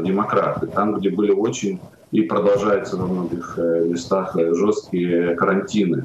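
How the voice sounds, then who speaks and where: Audible room echo and light background noise accompany a man with a fairly low pitch. He talks at a fairly slow pace with fairly even intonation. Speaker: journalist. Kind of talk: political talk show discussion. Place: home room.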